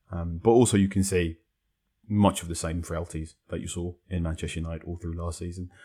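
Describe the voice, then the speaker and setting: A man's very deep, low voice, dark and mellow and somewhat breathy, at a fairly quick pace with monotone, flat intonation, on a very clean recording with a silent background. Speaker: football journalist. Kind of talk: casual chat.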